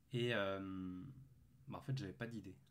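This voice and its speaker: A man talks with ordinary pitch variation at a moderate pace. Audible room echo can be heard around him. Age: 20s. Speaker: calisthenics youtuber and student. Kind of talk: casual facecam vlog. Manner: hesitant, many fillers.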